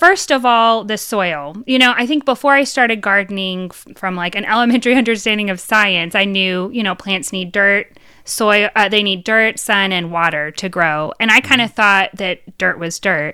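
On a very clean recording with a silent background, a woman at medium pitch speaks at a moderate pace with hardly any pauses, a bright, sharp tone, ordinary pitch variation and big swings in loudness. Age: 30s. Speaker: podcast co-host. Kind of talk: casual chat.

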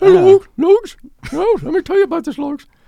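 Extremely high pitch in a put-on character voice. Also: moderate pace. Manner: cartoonish, excitable.

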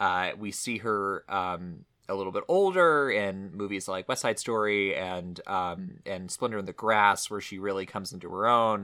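A man with an American accent speaks at a fairly slow pace in a bright, sharp tone and a fairly low pitch. The recording is very clean with a silent background. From Texas, small town. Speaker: film podcast co-host. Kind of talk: casual chat. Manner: halting, many fillers.

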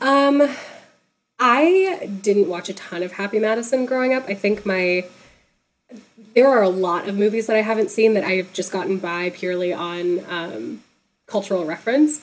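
Here is a woman with an American accent and an ordinary speaking voice. She talks at medium pitch and a moderate pace, with ordinary pitch variation. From Texas. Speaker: comedian. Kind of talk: casual chat. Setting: video call.

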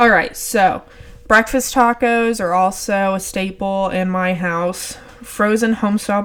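A woman with an American accent, medium pitch, fairly even intonation and a fairly slow pace. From Texas. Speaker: podcast host. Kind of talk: casual monologue. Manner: laid back.

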